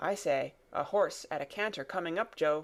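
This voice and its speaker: Using a put-on character voice, a woman sounds raspy at a fairly low pitch and a moderate pace. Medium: read story.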